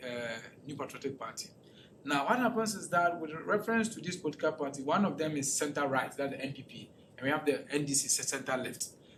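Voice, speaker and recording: Over noticeable background noise and audible room echo, a man talks at a very fast pace with lively intonation. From Ghana. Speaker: political researcher presenting a talk. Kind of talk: lecture presentation with audience questions. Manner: halting, with repetitions and restarts.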